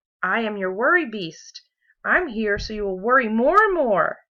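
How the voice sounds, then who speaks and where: A woman does a put-on character voice at a fairly high pitch, speaking at a moderate pace. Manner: scary, menacing.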